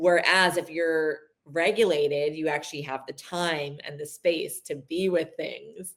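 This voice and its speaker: A woman with a normal speaking voice talks at a fairly low pitch with fairly even intonation. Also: fairly slow pace. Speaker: power dynamics educator. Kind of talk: casual interview chat.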